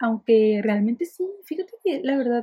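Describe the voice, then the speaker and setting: A woman speaks in a high-pitched voice. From Mexico, Ensenada. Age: 20s. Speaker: podcaster. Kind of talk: casual monologue. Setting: alone in her bedroom. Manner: fast, chatty.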